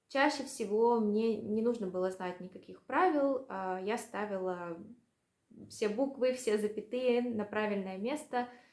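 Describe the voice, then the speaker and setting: Her pace is fairly slow and her pitch variation ordinary. The woman's voice sits fairly high. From Russia. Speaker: language vlogger. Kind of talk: casual vlog monologue. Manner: hesitant, many fillers.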